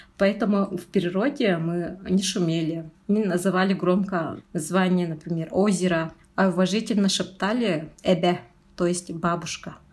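A woman speaks at a fairly slow pace and a medium pitch. Her intonation stays fairly even. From Yakutia, rural Tatta district. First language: Sakha (Yakut) (speaking Russian). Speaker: junior researcher, eco-activist. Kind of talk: personal interview.

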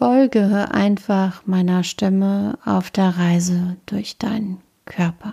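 Very slowly, a woman of medium pitch speaks in a dark, mellow, calm and soothing tone that is somewhat breathy. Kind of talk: guided meditation (yoga nidra body scan). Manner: slow, calm, soothing; soft-spoken, with long pauses between short phrases.

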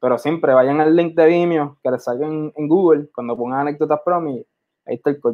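A man with an ordinary speaking voice talks at a fairly quick pace in a fairly high pitch, keeping his intonation fairly even. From Puerto Rico. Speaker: filmmaker. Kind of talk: interview.

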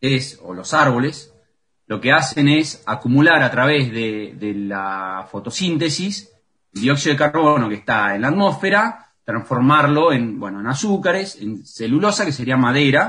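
Bright and sharp in tone, a man's fairly high voice makes very wide pitch swings at a fairly slow pace. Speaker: forest researcher. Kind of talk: radio interview. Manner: halting.

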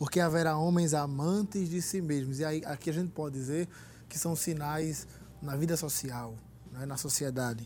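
A man's fairly high, somewhat breathy voice moves fairly slowly with ordinary pitch variation. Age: young. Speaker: young church member, law student. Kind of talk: religious talk show discussion.

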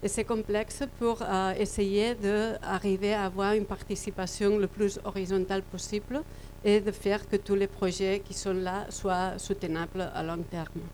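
The woman's intonation is monotone and flat. She keeps a medium pitch at a fairly slow pace. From Catalonia, Spain. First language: Catalan (speaking French). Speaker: cooperative worker presenting a model. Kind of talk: presentation. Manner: halting, searching for words.

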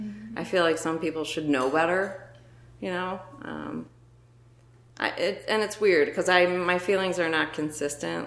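A woman talks at a moderate pace with a very deep, low pitch. Her voice shows vocal fry and ordinary pitch variation. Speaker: photographer. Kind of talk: casual chat.

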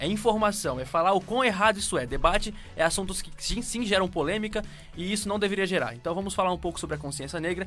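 With a northeastern Brazilian accent, a man talks at a very fast pace in a high pitch, his tone bright and sharp and his pitch varying in an ordinary way. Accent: northeastern Brazilian accent, regained. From Northeast Brazil (Pernambuco, Paraíba). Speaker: radio show co-host. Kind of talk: casual chat.

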